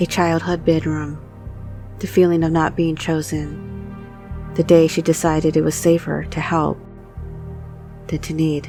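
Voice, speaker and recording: Music plays in the background as a woman speaks at a fairly slow pace in a gentle tone, taking long, frequent pauses. Her pitch is very deep and low, with ordinary variation. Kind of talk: hypnotic bedtime story narration. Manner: slow, gentle, restorative pacing.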